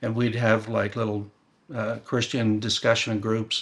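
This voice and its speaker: A man speaks in a General American accent at medium pitch and a moderate pace. He has a normal speaking voice. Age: 60s. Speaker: former church member. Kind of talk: interview testimony.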